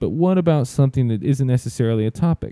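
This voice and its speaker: A man with an Alabama accent speaks at a very fast pace in a medium pitch. His tone is dark and mellow, and the sound is dry and close with no echo. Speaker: sports media director. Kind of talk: tutorial. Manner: casual, many fillers and restarts.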